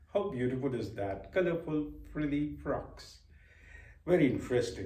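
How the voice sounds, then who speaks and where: In a room with audible echo, a man talks at a fairly high pitch, his dark, mellow tone somewhat breathy and his intonation lively. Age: 60s. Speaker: vlogger. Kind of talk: reflective monologue. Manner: hesitant, with filler words.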